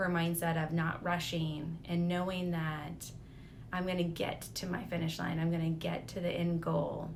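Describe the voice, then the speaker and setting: Speaking at a moderate pace, a woman's fairly low voice carries audible room echo. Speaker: lifestyle vlogger. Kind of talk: personal reflection monologue.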